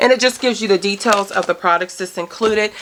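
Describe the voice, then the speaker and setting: Medium pitch and ordinary pitch variation in a woman's voice. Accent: American. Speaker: natural hair product reviewer. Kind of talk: product review vlog. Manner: fast.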